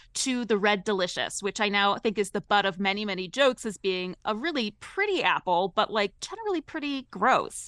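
A woman's unremarkable speaking voice, fairly high in pitch with lively intonation, on a very clean recording with a silent background. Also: dry, close sound with no echo. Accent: American. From Ohio. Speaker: culinary historian and author. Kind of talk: radio interview.

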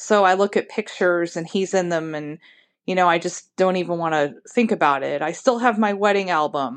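The delivery is fairly quick, in an ordinary speaking voice. The background is quiet. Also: woman, fairly low pitch for a woman, ordinary pitch variation. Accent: American. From Ohio. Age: 50s. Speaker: listener leaving a voicemail. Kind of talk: voicemail message.

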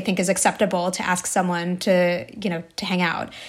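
At a moderate pace, a woman with an American accent speaks on a very clean recording with a silent background. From US Northeast, New Jersey. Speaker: journalist and author. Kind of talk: casual interview.

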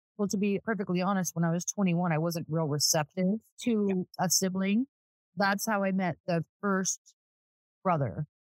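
A woman with an American accent and an unremarkable speaking voice talks at a moderate pace in a medium pitch, with ordinary pitch variation, very even loudness, and a dry, close sound with no echo. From Southern California. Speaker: real estate agent. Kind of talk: casual chat.

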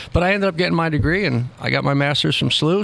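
A man rattles off his words very quickly while background noise is clearly audible. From New Jersey, Trenton. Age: 50s. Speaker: youth soccer director, former college coach. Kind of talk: casual interview. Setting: restaurant.

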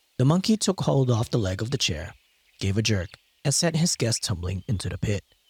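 At a fairly quick pace, a somewhat breathy voice moves through very wide pitch swings in a dry, close sound with no echo. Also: man. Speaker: podcast narrator. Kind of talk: scripted folklore storytelling narration, retelling a fable. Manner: measured storyteller pacing.

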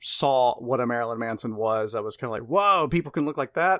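A man with a normal speaking voice and an American accent speaks at a medium pitch with ordinary pitch variation, on a very clean recording with a silent background. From US South, Mississippi. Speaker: horror podcast host and writer. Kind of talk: casual chat.

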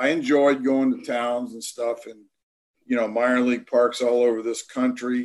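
This man has an ordinary speaking voice. He talks at a moderate pace with a medium pitch. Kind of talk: casual interview.

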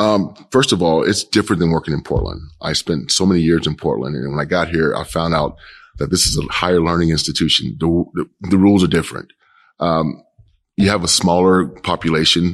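A man with a very deep, low voice and an American accent, at a fairly quick pace. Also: ordinary pitch variation, quiet background. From Kansas City, Kansas. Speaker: police chief. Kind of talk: interview.

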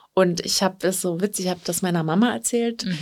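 On a very clean recording with a silent background, a woman with an unremarkable speaking voice and medium pitch speaks at a moderate pace with fairly even intonation. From Berlin, Germany. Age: 30s. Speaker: professional organizer and coaching client. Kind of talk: interview. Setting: studio.

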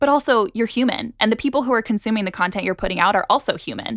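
Recorded very cleanly with a silent background and a dry, close sound with no echo, a woman with an American accent speaks very fast with ordinary pitch variation. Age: 20s. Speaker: journalist and podcast host. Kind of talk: interview conversation.

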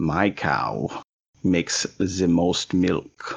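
A raspy, very deep put-on character voice from a man, in a German accent

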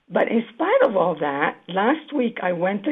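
A woman's voice with big pitch swings and a slightly husky edge

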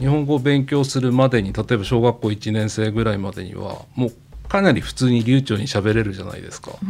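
A man with a normal speaking voice talks at a fairly quick pace with hardly any pauses, his medium pitch showing ordinary variation and his loudness swinging widely. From Akita, Japan. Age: 50s. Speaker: company president. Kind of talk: interview.

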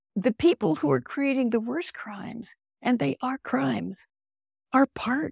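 A woman speaks slowly at a fairly high pitch, with very wide pitch swings and vocal fry. The audio is dry and close, with no echo. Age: 80s. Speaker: author. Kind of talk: casual interview conversation.

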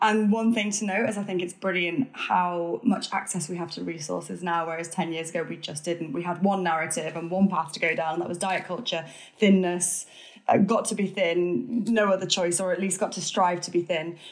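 With an ordinary speaking voice, a woman talks at a moderate pace in a fairly low pitch, her pitch varying in an ordinary way. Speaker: author and podcaster. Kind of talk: casual interview chat.

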